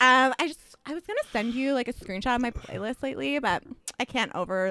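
In a dry, close sound with no echo, a woman with a high pitch and a bright, sharp tone talks at a fairly quick pace with lively intonation. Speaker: sketch comedian. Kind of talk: casual banter, comedic chat.

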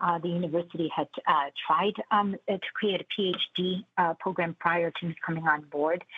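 A woman's fairly low voice at a fairly slow pace. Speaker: university administrator. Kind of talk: radio interview. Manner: halting, many fillers.

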